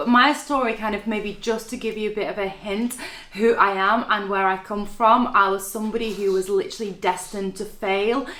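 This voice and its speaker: A woman talks at a fairly quick pace in a fairly high pitch. Her intonation is fairly even over noticeable background noise. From Latvia. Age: 30s. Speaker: network marketing entrepreneur. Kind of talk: interview.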